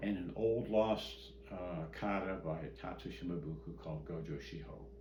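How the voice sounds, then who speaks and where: A man with an American accent talks at a moderate pace in a very deep, low pitch with very wide pitch swings. Noticeable background noise runs behind him. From Midwestern US. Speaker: karate grand master. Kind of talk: oral history interview answer. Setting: at home.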